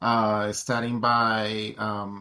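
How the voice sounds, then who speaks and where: A bright, sharp tone with a Colombian accent. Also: man. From Colombia, Bogotá. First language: Spanish. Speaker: tech education advocate. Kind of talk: interview.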